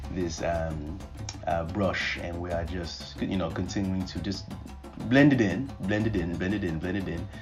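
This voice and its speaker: A man's very deep, low voice at a fairly slow pace, ordinary pitch variation, music in the background. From Nigeria. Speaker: guest voiceover narrator. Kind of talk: humorous makeup tutorial voiceover. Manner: animated, playful.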